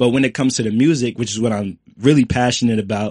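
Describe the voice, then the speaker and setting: A man with a plain, everyday voice and a medium pitch talks at a fairly quick pace with fairly even intonation, the sound dry and close with no echo over a quiet background. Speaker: actor and music producer. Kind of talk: casual chat.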